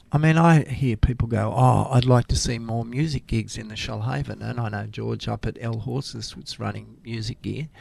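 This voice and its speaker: A man's voice at a moderate pace with hardly any pauses. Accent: Australian. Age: 60s. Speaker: community radio presenter and retired science teacher. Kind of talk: casual interview chat. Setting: radio studio. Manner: animated.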